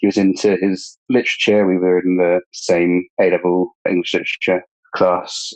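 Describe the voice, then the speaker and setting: With a very deep, low pitch and monotone, flat intonation, a man speaks at a moderate pace in a dry, close sound with no echo. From southern England. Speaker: bereaved friend sharing his story. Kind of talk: interview testimony. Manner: halting.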